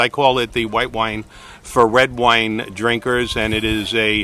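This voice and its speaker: A man speaks at a fairly slow pace with a Brooklyn accent. Noticeable background noise runs under his voice. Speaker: realtor and video host. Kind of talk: casual chat. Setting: winery. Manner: animated.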